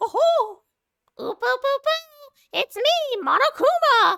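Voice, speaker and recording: A put-on, squeaky character voice at extremely high pitch, very slow, with a playful, sinister tone. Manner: playful, cartoonishly sinister.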